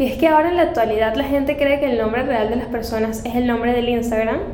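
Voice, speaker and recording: A woman talks fairly quickly in a high pitch with fairly even intonation. Noticeable background noise and audible room echo come through. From Venezuela, Caracas. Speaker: fitness coach and former runner. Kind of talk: casual interview.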